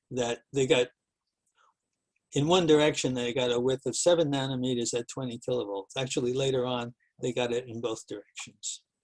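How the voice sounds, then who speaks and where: This man has a normal speaking voice, medium in pitch, moving at a fairly quick pace with fairly even intonation, and the sound is dry and close with no echo. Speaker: professor. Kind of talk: lecture.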